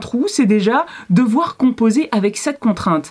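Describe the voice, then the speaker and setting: A woman speaks at a moderate pace with a quiet background. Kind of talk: tutorial. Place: workshop.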